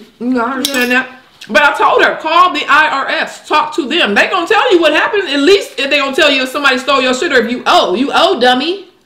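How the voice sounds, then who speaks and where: A woman speaks in a raised, projected voice with an animated tone at a very fast pace, hardly pausing. Audible room echo surrounds her. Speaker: tax preparer. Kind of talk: casual talk to camera, mukbang. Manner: animated, storytelling, casual. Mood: annoyed storytelling. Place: kitchen.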